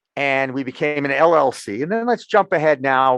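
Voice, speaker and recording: Against a quiet background, a man speaks in an American accent at a fairly slow pace. His tone is animated, with ordinary pitch variation. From Massachusetts. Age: 60s. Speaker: sports journalist and cannabis media founder. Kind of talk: podcast interview. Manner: animated storytelling.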